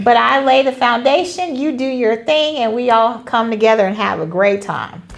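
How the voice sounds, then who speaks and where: A woman's high-pitched voice with an American accent, lively intonation and a moderate pace, over noticeable background noise. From Charlotte, North Carolina. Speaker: line dance instructor and teacher. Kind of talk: interview.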